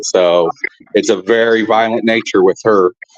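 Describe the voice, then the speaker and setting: In a southern Illinois accent, a man talks at a moderate pace, the sound dry and close with no echo. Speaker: film director. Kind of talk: interview.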